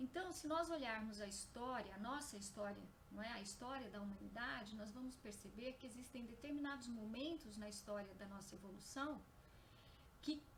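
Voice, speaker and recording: With audible room echo, a high-pitched woman talks at a moderate pace. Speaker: spiritist lecturer. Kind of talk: lecture. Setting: live stream on Facebook. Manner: soft-spoken. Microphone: too quiet at first, then boosted.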